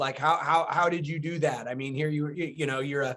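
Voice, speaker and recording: The man talks at a fairly quick pace with fairly even intonation. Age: 50s. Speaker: novelist interviewing author. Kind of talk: casual conversation. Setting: video call. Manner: halting, filler-heavy.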